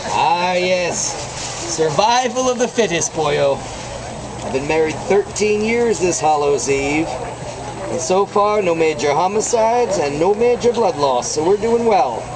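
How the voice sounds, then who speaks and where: A high-pitched man at a fairly slow pace, lively intonation, and noticeable background noise. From Ireland. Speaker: potter and fair performer. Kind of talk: live demonstration with comic patter. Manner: animated.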